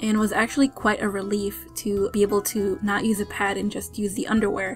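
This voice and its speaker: Music plays in the background as a woman speaks at a fairly quick pace. Her voice is medium in pitch, with fairly even intonation. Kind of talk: casual product review to camera.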